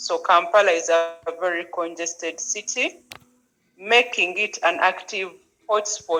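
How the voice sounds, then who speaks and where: Speaking at a fairly slow pace, a woman has a fairly low pitch and a bright, sharp tone. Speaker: city deputy mayor. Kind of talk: panel speech.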